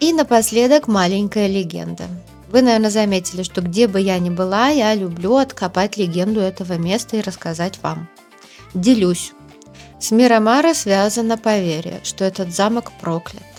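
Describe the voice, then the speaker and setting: A woman's medium-pitched voice with ordinary pitch variation and music in the background. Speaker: travel vlogger. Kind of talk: travel narration. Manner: soft-spoken; slow.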